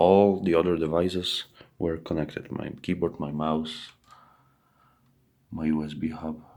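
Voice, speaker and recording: With a non-native accent, a man with a very deep, low pitch talks at a fairly slow pace with fairly even intonation. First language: not English. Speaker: PC user reporting a tech issue. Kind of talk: screen-recorded bug report narration. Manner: halting, many fillers and self-corrections.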